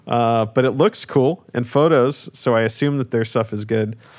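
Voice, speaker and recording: With music playing behind him, a man speaks in an animated tone at a medium pitch. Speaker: creative director. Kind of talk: casual chat. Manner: animated, casual.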